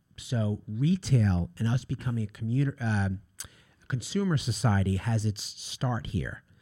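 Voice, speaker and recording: A man's somewhat breathy, dark, mellow voice with an American accent in a very clean recording with a silent background. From Long Island, New York. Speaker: historian. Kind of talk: interview.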